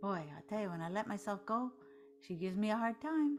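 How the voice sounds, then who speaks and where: Over music in the background, a woman talks at a medium pitch. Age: 60s. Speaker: meditation teacher. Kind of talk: guided meditation. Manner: slow; soft-spoken.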